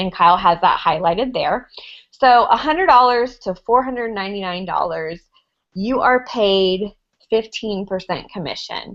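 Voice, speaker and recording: A woman speaks with lively intonation in an American accent. The background is quiet. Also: medium pitch for a woman, moderate pace. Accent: redneck accent, Southern US. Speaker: network marketing ambassador. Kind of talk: training presentation.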